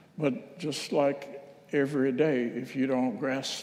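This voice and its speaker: In a room with audible echo, a man speaks very slowly at a medium pitch with a dark, mellow tone. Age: 80s+. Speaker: minister. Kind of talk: reflective talk at a church service. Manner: conversational, with hesitations.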